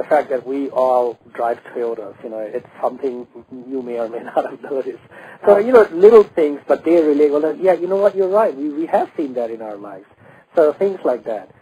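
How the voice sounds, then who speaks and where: Over noticeable background noise, a man with a fairly high pitch makes very wide pitch swings. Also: moderate pace. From Bangladesh. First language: Bengali. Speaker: stand-up comedian. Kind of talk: radio interview. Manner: halting, many fillers and restarts.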